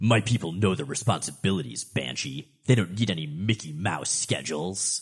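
In a put-on character voice, a man sounds gruff and raspy at a very deep, low pitch, moving at a moderate pace with hardly any pauses. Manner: irate, gruff.

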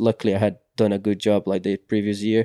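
A dark, mellow tone in a Portuguese accent, monotone and flat, with a dry, close sound with no echo and a very clean, silent background. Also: man. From Brazil. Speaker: mountain bike racer. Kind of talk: interview. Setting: studio. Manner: halting, many fillers and repeats.

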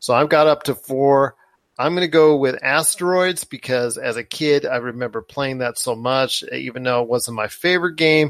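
An unremarkable speaking voice belongs to a man with fairly high pitch and ordinary pitch variation. The moderate pace comes through a dry, close sound with no echo. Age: 30s. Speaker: podcast host. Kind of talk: casual chat.

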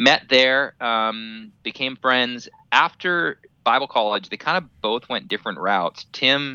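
A man of medium pitch speaks at a fairly slow pace with ordinary pitch variation. He leaves long, frequent pauses. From Canada, British Columbia. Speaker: staff member of a Bible ministry. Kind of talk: casual interview. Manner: hesitant, many fillers.

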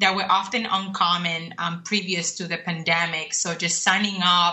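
Over noticeable background noise, a woman speaks at a moderate pace in a fairly low pitch with monotone, flat intonation. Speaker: program specialist and cultural intelligence speaker. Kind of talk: radio interview. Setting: video call or phone call from abroad.

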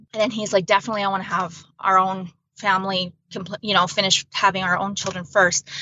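A woman with a Canadian accent speaks fairly quickly at a medium pitch, her intonation monotone and flat. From central Alberta, Canada. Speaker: bereaved mother and blogger. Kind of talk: testimony.

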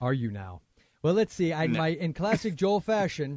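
Speaking at a fairly quick pace, a man talks with an American accent. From United States. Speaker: podcast co-host. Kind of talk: casual chat.

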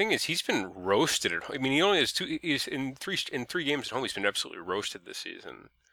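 On a very clean recording with a silent background, a man talks at a very fast pace with hardly any pauses. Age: 30s. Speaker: fantasy baseball co-host. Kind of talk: casual chat. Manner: halting, repeats words.

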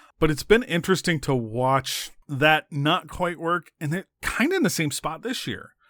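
This man has a fairly high pitch with very wide pitch swings. He speaks fairly slowly, and the sound is dry and close with no echo. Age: 40s. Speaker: baseball beat writer. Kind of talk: casual chat.

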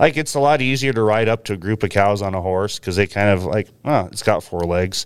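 In a very clean recording with a silent background, a man with an American accent and an ordinary speaking voice talks at a fairly quick pace, fairly low in pitch with ordinary pitch variation. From US Pacific Northwest, Willamette Valley, Oregon. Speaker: cattle rancher. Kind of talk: interview.

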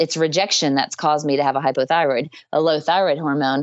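Her voice is very deep and low in pitch. The woman talks at a fairly quick pace. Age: 30s. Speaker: holistic dietitian and essential oils business owner. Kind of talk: casual interview.

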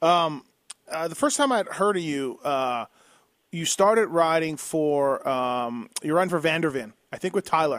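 With an unremarkable speaking voice, a man talks at a fairly slow pace with fairly high pitch and lively intonation. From Canada. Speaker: podcast host. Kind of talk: interview.

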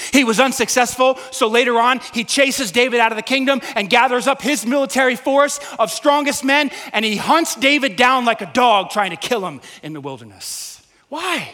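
Raised, projected male voice at an extremely high pitch, animated in tone, with noticeable background noise. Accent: American. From Staten Island, New York. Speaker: pastor. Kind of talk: sermon. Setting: church.

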